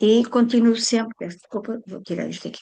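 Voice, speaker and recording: The setting is quiet around a woman's voice. Her tone is dark and mellow, and her pace is moderate. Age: 80s+. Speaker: tai chi teacher. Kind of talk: self-introduction in online group meeting. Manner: halting.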